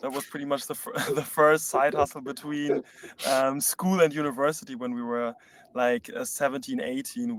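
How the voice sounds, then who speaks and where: Here a man speaks at a moderate pace with a German accent. His pitch is fairly high. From Germany, Berlin. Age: 20s. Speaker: startup co-founder. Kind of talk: live webinar Q&A.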